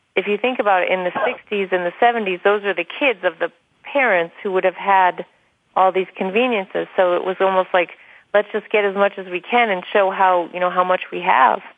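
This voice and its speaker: A woman with an ordinary speaking voice, medium pitch and fairly even intonation. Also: fairly quick pace. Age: 40s. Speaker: author. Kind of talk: radio interview. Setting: internet talk radio.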